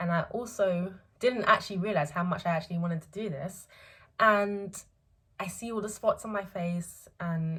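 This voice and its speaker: A woman speaks at a medium pitch and a moderate pace, with ordinary pitch variation. Her loudness swings widely. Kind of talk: casual talk to camera. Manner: hesitant, many filler words.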